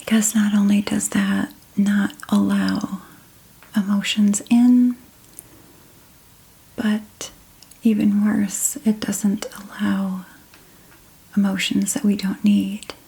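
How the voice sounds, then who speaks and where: Soft-spoken and gentle in tone, the speaker talks at a very slow pace in a monotone, flat intonation, with long, frequent pauses and noticeable background noise. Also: woman, medium pitch for a woman. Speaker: ASMR artist. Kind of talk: ASMR reiki session. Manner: gentle, soft-spoken.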